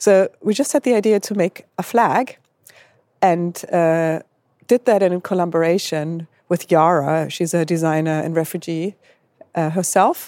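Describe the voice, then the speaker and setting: A woman with a German accent speaks at a fairly slow pace in a dark, mellow tone. Her fairly low pitch has ordinary pitch variation, heard in a dry, close sound with no echo. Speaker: advertising creative. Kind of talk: panel discussion.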